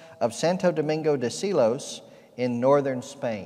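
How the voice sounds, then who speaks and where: A quiet background surrounds the speech. The tone comes across as dark and mellow. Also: man. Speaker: pastor. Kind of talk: sermon. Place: church. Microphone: podium.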